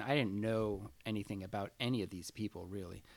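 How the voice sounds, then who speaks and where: Using an ordinary speaking voice, a man with an American accent talks at a moderate pace and a fairly low pitch. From San Francisco, US West Coast. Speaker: sculptor. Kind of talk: casual interview.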